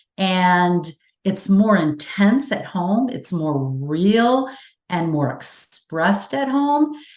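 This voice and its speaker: Somewhat breathy and animated, a woman speaks in a fairly low pitch. Her pitch swings very widely. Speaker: communication and forgiveness expert. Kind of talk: interview. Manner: fast.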